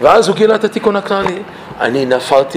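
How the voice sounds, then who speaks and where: Through noticeable background noise, a man with an English accent speaks with lively intonation. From Canada, Toronto. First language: English (speaking Hebrew). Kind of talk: personal testimony talk; Torah lesson.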